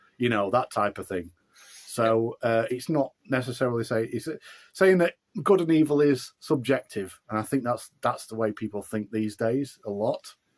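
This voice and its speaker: Recorded dry and close with no echo, a man talks at a moderate pace with a Yorkshire accent. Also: medium pitch for a man, lively intonation. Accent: broad Yorkshire. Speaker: author and musician. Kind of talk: interview. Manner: halting.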